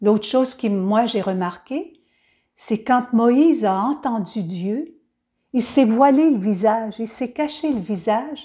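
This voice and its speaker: With a Quebec accent, a woman speaks very slowly in a fairly high, somewhat breathy voice whose tone is warm and gentle as well as dark and mellow, with ordinary pitch variation, on a very clean recording with a silent background. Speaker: children's Bible storyteller. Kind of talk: storytelling and reflection for children. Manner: warm, gentle address to children.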